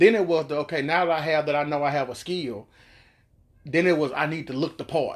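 This is a plain, everyday voice with an American accent, moving at a fairly quick pace with fairly even intonation over a quiet background. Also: man, fairly high pitch for a man. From Miami, Florida. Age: 40s. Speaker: former rapper. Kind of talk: interview.

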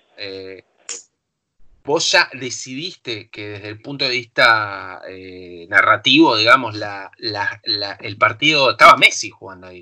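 In a Rioplatense accent, a man speaks with big swings in loudness. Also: quiet background. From Argentina, La Plata. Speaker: film director. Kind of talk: casual chat.

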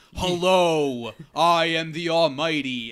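This man puts on a booming character voice, pitched fairly high. His pace is fairly slow. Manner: booming, grandiose.

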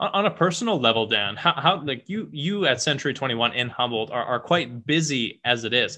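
A man with a normal speaking voice, fairly high in pitch, with lively intonation at a fairly quick pace and hardly any pauses. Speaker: podcast host and mortgage professional. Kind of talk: casual interview.

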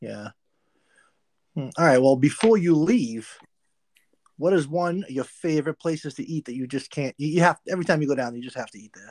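A man's fairly high voice at a fairly quick pace, ordinary pitch variation, big swings in loudness and long, frequent pauses, dry and close with no echo on a very clean recording with a silent background. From Massachusetts. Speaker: motorcycle podcast co-host. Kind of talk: casual chat.

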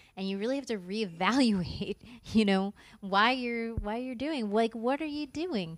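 A woman's lively intonation at a moderate pace. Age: 40s. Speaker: comedian and actress. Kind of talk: casual chat. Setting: backstage at a theater.

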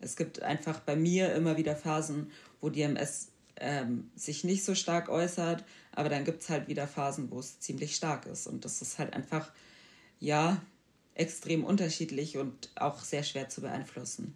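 The recording is very clean, with a silent background. A woman with a very deep, low pitch speaks at a fairly slow pace with ordinary pitch variation. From Bavaria, Germany. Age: 20s. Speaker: podcast guest with multiple sclerosis. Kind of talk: interview.

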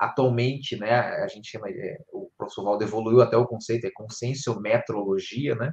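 A man is speaking. His voice is somewhat breathy. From Rio de Janeiro, Brazil. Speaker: conscienciology teacher. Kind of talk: live-streamed panel discussion. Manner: hesitant, many fillers.

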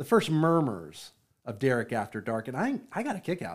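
In a very clean recording with a silent background, a man talks at a moderate pace with a fairly high pitch. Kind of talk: radio DJ patter, promo-style station plugging with jokey ad-libs. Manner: playful, teasing, upbeat showman delivery with mock-announcer flourishes and laughs.

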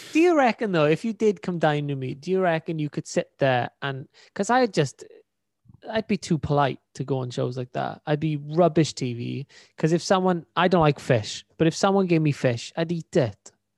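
A Welsh-accented voice, dry and close with no echo, over a quiet background. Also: man. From Wales. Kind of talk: casual banter.

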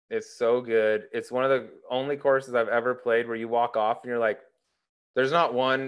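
With an American accent and a normal speaking voice, a man talks at medium pitch and a fairly quick pace against a quiet background. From Colorado, US. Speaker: retired professional golfer and podcast host. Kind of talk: casual interview.

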